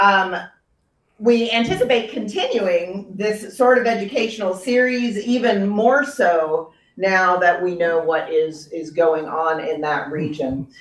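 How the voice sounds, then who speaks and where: A plain, everyday voice with an American accent moves at a fairly slow pace with lively intonation. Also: woman, medium pitch for a woman. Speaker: pastor. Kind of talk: introduction at a church talk.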